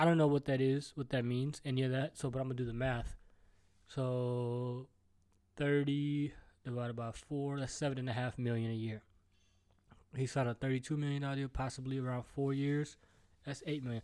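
Here a man with a medium pitch and a dark, mellow tone talks at a fairly quick pace in monotone, flat intonation, broken by long, frequent pauses. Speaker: podcast host. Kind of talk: casual solo rant. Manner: stutters.

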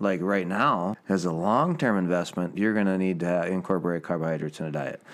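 This man speaks at a fairly quick pace with a very deep, low pitch. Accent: American. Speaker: podcast co-host. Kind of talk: casual chat. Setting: in a house. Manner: animated.

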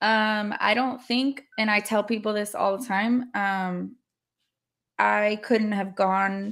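A woman with an American accent speaks in a fairly high pitch with monotone, flat intonation on a very clean recording with a silent background. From California. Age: 30s. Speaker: nurse and host's wife. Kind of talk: casual chat.

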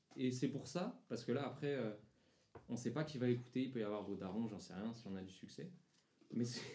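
A man's medium-pitched, dark, mellow tone at a fairly quick pace, with ordinary pitch variation, long, frequent pauses and audible room echo. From Paris region (Seine-Saint-Denis). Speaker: podcast host. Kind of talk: casual chat. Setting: at a table with friends.

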